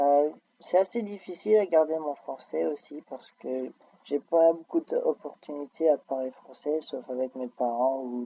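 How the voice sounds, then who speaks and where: A man's fairly high-pitched voice with a dark, mellow tone, at a fairly slow pace with big swings in loudness, dry and close with no echo. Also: ordinary pitch variation. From France until age 5, then Austin, Texas. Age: 20s. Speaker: university student. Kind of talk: interview. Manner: hesitant with fillers.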